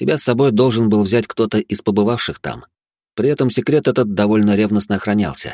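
A natural reading voice with ordinary pitch variation, over a quiet background.

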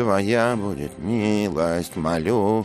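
The voice reads in a natural way. Pitch rises and falls about as much as usual.

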